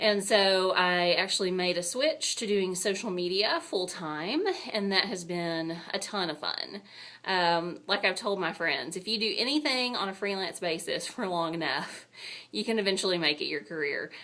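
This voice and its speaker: A woman's medium-pitched voice with a strong Texan accent. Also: ordinary pitch variation, moderate pace. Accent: thick Texan. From Texas. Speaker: booktuber and university public relations director. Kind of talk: casual video blog. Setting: office. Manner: casual, chatty.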